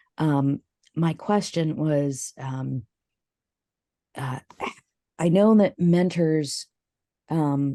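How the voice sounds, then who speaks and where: With fairly even intonation, a woman speaks in a very deep, low pitch. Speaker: webinar participant, clergy. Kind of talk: Q&A question at webinar. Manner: halting, many fillers.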